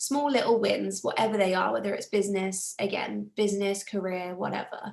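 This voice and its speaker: Talking at a fairly quick pace, a woman speaks with a British accent. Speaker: self-development coach. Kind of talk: live group coaching talk.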